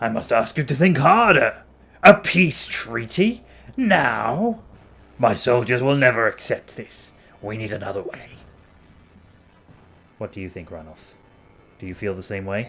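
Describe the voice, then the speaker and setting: A put-on character voice from a man, medium in pitch, with long, frequent pauses. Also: moderate pace. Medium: game stream. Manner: blunt, forceful.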